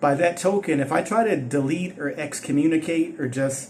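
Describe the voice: With a slightly mellow tone and a fairly high pitch, a man talks at a moderate pace with ordinary pitch variation amid audible room echo.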